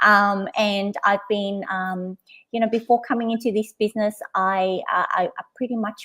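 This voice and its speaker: A woman with an Australian accent, medium pitch and fairly even intonation at a fairly slow pace. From Australia (Sydney), born in Vietnam. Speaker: business coach. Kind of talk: casual chat. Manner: halting, many fillers.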